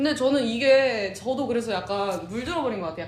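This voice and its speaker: Amid noticeable background noise, a woman speaks at a fairly quick pace with a high pitch and lively intonation. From Chungcheong, Korea.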